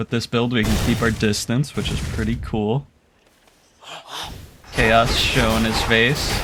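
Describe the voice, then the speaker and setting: Noticeable background noise sits behind a man with a medium pitch. He talks at a fairly slow pace with long, frequent pauses. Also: fairly even intonation. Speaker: gaming commentator. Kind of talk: gameplay commentary.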